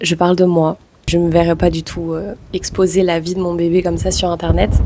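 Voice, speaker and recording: A woman speaks at a moderate pace with a fairly low pitch. Her tone is dark and mellow. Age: 20s. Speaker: vlogger. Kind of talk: personal vlog testimony.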